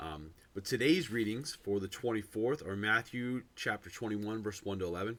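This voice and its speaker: Moving at a moderate pace, this voice carries a bright, sharp tone. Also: man. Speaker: pastor. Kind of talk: devotional talk. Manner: halting, many fillers.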